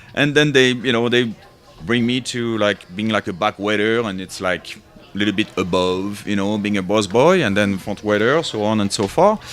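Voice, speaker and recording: A man speaks in a French accent. His pace is moderate. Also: fairly low pitch for a man, ordinary pitch variation. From France. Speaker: sommelier. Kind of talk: casual chat.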